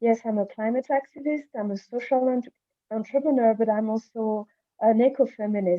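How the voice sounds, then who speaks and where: This woman has a fairly high pitch and a French accent. She talks at a moderate pace with ordinary pitch variation. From Madagascar. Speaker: climate activist. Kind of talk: panel discussion. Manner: halting, many fillers.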